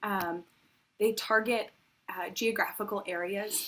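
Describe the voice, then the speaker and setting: Soft-spoken, a woman talks at a fairly slow pace with ordinary pitch variation. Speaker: worship service leader. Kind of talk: offering announcement in worship service. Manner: halting with frequent fillers.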